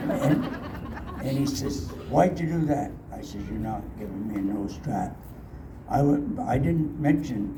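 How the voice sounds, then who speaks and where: A man talks at a fairly slow pace with fairly high pitch and ordinary pitch variation. Noticeable background noise and audible room echo fill the recording. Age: 80s+. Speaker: residential school survivor. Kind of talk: testimony. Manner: halting.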